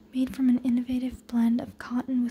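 The speaker is whispering. There is light background noise. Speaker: ASMR creator. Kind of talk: ASMR magazine flip-through rambling. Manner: whispered. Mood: relaxed, calm. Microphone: phone near.

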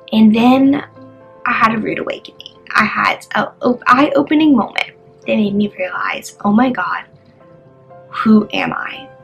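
Over music in the background, a woman with a fairly high voice speaks at a fairly slow pace with lively intonation and long, frequent pauses. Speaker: vlogger. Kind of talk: personal testimony, casual talk to camera. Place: home room. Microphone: phone near.

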